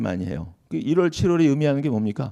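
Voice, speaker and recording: A man with vocal fry speaks at a medium pitch in a dark, mellow tone. His pitch swings very widely. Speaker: law lecturer at exam prep academy. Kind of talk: lecture at info session. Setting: lecture hall with audience.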